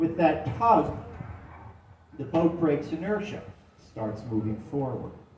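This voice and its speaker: Over light background noise and audible room echo, a man speaks at a fairly slow pace. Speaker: canal boat tour guide. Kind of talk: tour guide commentary. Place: boat.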